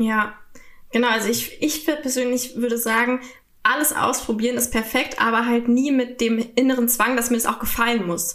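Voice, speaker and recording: Over noticeable background noise, a woman with a high pitch talks at a moderate pace with fairly even intonation. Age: 20s. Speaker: sex worker and retreat leader. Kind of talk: interview.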